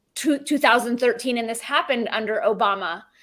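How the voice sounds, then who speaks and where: With a Southern California accent, a woman speaks at a high pitch that rises and falls in an ordinary way. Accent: Valley girl. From California, San Fernando Valley. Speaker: podcaster, former journalist. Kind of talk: casual interview chat.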